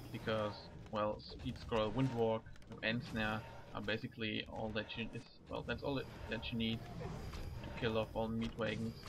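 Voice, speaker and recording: Here a man with a medium pitch talks at a moderate pace. His intonation is fairly even, broken by long, frequent pauses. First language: not English. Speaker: gaming commentator. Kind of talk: game commentary. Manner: halting.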